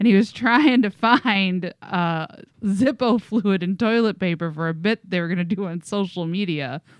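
A woman speaks with a plain, everyday voice at medium pitch and a moderate pace. The sound is dry and close with no echo, and her pitch varies in an ordinary way. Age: 30s. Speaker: podcast co-host. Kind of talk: casual chat. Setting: basement studio.

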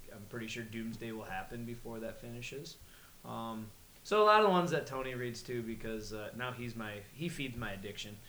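Noticeable background noise sits under a man speaking at a fairly quick pace. His pitch is medium with ordinary variation, and his loudness swings a lot. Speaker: podcast co-host. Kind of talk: casual banter, drunken comedy chat.

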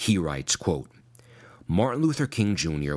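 A man with an American accent speaks with vocal fry. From US Northeast, Long Island, New York. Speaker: pastor and Bible teacher. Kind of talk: scripted monologue. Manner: formal.

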